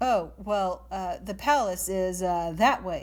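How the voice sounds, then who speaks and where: A put-on character voice sits at a middle pitch. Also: fairly slow pace. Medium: read story. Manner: gruff, blustering.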